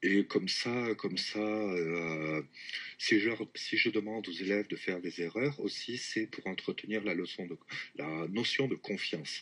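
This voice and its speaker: Fairly low in pitch, a man talks at a fairly slow pace. His pitch variation is ordinary. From southwest France. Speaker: French teacher. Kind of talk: casual interview. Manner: hesitant, many fillers.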